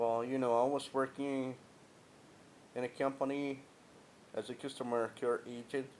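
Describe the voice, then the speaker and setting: A man at a medium pitch speaks in a flat monotone at very even loudness, with long, frequent pauses. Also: moderate pace. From Guatemala. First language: Spanish. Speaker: vlogger, former customer care agent. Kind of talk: personal monologue vlog. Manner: halting.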